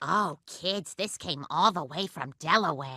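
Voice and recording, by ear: A cartoonish character voice that sounds female comes through. It moves at a moderate pace.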